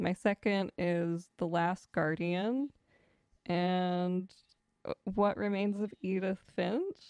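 A woman at medium pitch and a very slow pace, with fairly even intonation and long, frequent pauses, on a quiet background with a dry, close sound and no echo. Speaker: podcast host. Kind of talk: casual chat.

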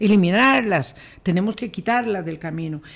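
On a very clean recording with a silent background, a woman of medium pitch speaks with lively intonation. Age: 60s. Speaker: radio host. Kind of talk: interview.

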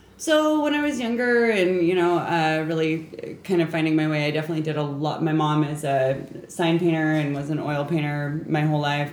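The speaker goes at a moderate pace over noticeable background noise. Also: woman. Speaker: tattoo artist. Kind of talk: casual chat.

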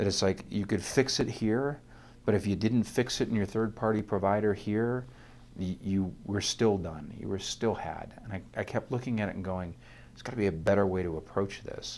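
This man speaks in a normal speaking voice at a moderate pace, his fairly low pitch rising and falling in an ordinary way. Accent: American. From US Midwest (rural northern Ohio). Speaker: security executive. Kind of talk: interview.

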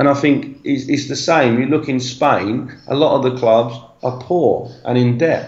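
With audible room echo, a man in a London accent speaks fairly slowly with fairly even intonation. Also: medium pitch for a man. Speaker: football coach. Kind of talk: casual interview chat.

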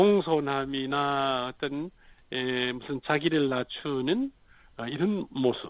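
Very slowly, a man with a fairly high pitch speaks with ordinary pitch variation. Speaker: poet and literary critic, professor emeritus. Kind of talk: radio literary talk.

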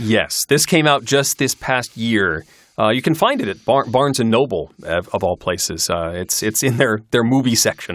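Lively intonation marks this man's medium-pitched, plain, everyday voice with an American accent. He keeps a moderate pace on a very clean recording with a silent background. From Michigan, US Midwest. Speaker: podcaster and audiobook narrator. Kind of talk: casual interview.

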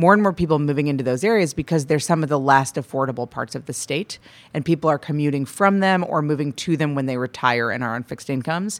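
A woman with an American accent speaks very fast with hardly any pauses, her very deep, low voice showing ordinary pitch variation in a very clean recording with a silent background. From US Midwest, Madison, Wisconsin. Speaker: state climate policy official. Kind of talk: interview. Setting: studio.

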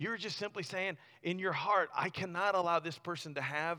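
On a very clean recording with a silent background, a man talks at a moderate pace. His tone is animated, bright and sharp. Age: 40s. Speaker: youth pastor. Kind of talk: sermon. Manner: halting.

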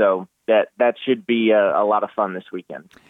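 Fairly low-pitched male speech with an American accent at a fairly slow pace. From Massachusetts, US. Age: 20s. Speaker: race car driver. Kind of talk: radio interview. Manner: halting, frequent repetitions.

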